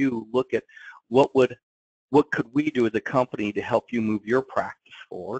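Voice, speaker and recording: A man speaks in an ordinary speaking voice at medium pitch. His pace is moderate, and the sound is dry and close with no echo. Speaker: law practice coach and attorney. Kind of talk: interview. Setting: webinar call.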